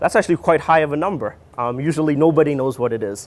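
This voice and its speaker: The man's voice sits fairly high in pitch. He keeps a moderate pace. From Canada (Toronto). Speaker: tech company founder giving a workshop. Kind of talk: workshop talk to students. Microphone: speaking without a microphone.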